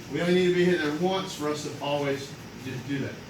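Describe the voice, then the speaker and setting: A man speaks loudly at a moderate pace, with audible room echo and noticeable background noise. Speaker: karate master instructor. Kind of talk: demonstration.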